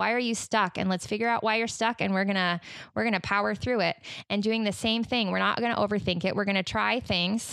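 A woman with an American accent talks at a fairly quick pace and medium pitch, her intonation fairly even. Her loudness stays very even on a very clean recording with a silent background. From Utah. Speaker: podcast guest, mother and life coach. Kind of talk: casual interview.

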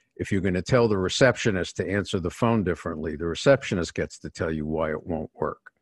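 A man with a New York accent, very deep and low in pitch with ordinary variation, talking very fast with hardly any pauses in a dry, close sound with no echo. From New York City, working class. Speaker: executive coach and author. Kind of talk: interview.

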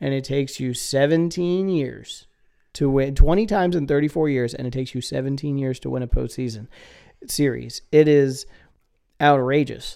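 A man's fairly slow voice with vocal fry, a clear, smooth and slightly mellow tone, on a very clean recording with a silent background.

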